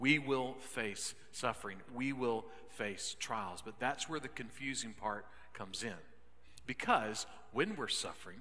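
The delivery comes at a fairly slow pace. Pitch varies in an ordinary way. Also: man. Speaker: pastor. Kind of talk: sermon. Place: church. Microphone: headset.

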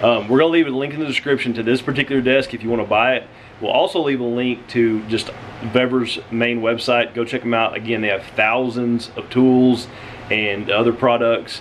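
A man at a fairly quick pace, with light background noise. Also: fairly even intonation. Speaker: family vlogger. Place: home room. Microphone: phone near.

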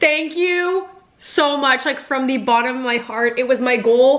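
Over noticeable background noise, a woman speaks in a raised, projected voice. Her pitch is high, and her pace is moderate. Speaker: YouTuber. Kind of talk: casual vlog reaction. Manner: animated.

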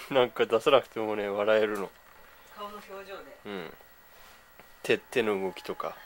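The speech comes at a very slow pace with long, frequent pauses and light background noise. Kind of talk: soft talk to a baby. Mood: tender, amused. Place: home room. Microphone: phone near.

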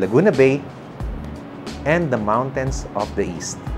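A man talks at a moderate pace with music in the background. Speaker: property tour host. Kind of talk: real estate tour commentary. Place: street. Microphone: lapel.

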